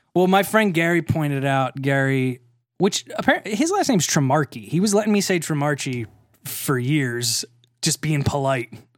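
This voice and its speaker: A man speaks at a moderate pace in a plain, everyday voice, fairly high in pitch with lively intonation. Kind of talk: casual chat. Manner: joking, laughs a lot.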